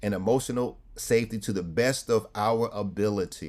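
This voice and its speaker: In a New York accent, a man speaks at a fairly slow pace with a dark, mellow tone and ordinary pitch variation. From New York City (Harlem). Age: 60s. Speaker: clergy and trauma speaker. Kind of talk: webinar presentation. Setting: video call. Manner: preacherly, punctuated with amens.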